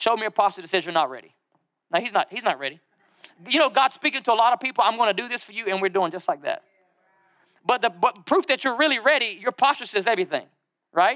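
A man speaks very fast in an extremely high, bright and sharp voice, raised and projected, with lively intonation and an animated tone. His loudness swings widely, long pauses come often, and the sound is dry and close with no echo. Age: 30s. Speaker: pastor. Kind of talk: sermon.

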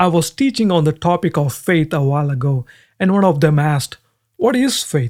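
A man with a non-native accent and fairly high pitch, lively intonation, a moderate pace, and dry, close sound with no echo. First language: not English. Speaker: Bible teacher. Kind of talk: sermon.

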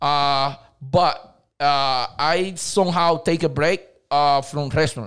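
Speaking with a Dominican accent, a man has a fairly high pitch and a very slow pace. The recording is very clean, with a silent background. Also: fairly even intonation. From Dominican Republic. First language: Spanish. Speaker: cleaning company owner. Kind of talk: casual interview. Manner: halting, non-native grammar.

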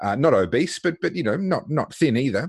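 A man with an Australian accent, fairly quick pace and lively intonation against a quiet background. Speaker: podcast host. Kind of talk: interview.

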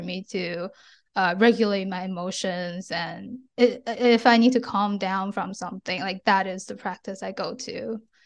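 Against a quiet background, a woman with a Chinese accent speaks at moderate pace and medium pitch, her intonation fairly even and her loudness swinging widely. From China. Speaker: ADHD advocate. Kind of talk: interview.

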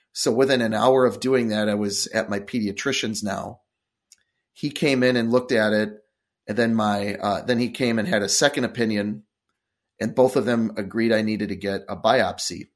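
In an American accent, a man with an unremarkable speaking voice talks at a medium pitch and a moderate pace with ordinary pitch variation. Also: very clean recording, silent background. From Wisconsin, US Midwest. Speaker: cancer survivor, author and motivational speaker. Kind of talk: interview.

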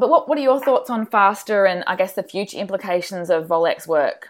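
Recorded very cleanly against a silent background, a woman with an Australian accent talks at a moderate pace. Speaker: podcast host and sports nutritionist. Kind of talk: interview.

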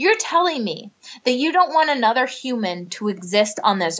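A woman with a Midwestern accent and an animated tone, at a moderate pace. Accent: general American, Midwestern. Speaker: actress. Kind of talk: casual chat.

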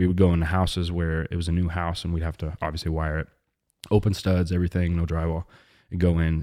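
Spoken at a very fast pace in a monotone, flat delivery with an American accent, the voice sounds dry and close with no echo on a very clean recording over a silent background. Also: man. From Missouri, US Midwest. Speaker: electrician sharing faith testimony. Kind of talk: testimony.

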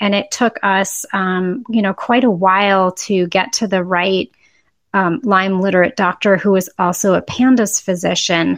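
A woman's ordinary speaking voice in an American accent, medium in pitch with ordinary pitch variation, at a fairly slow pace over a quiet background. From Boston, US. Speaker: parent and author. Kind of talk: interview.

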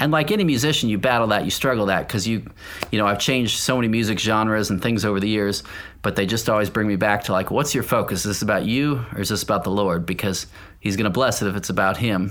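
Speaking at a very fast pace, a man keeps a very even loudness and ordinary pitch variation. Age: 40s. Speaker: professional touring drummer. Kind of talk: casual interview.

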